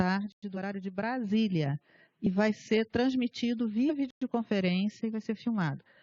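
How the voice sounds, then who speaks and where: Her voice somewhat breathy, a woman talks at a fairly slow pace with ordinary pitch variation. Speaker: librarian / event organizer. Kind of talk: meeting presentation over videoconference. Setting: videoconference. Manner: hesitant, many fillers.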